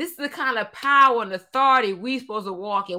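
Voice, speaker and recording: A raised, projected voice with a bright, sharp tone and lively intonation on a very clean recording with a silent background. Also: woman. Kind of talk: sermon. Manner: animated, fervent, call-and-response preaching with frequent Hallelujah and Amen; lively, rhythmic, exhorting the congregation.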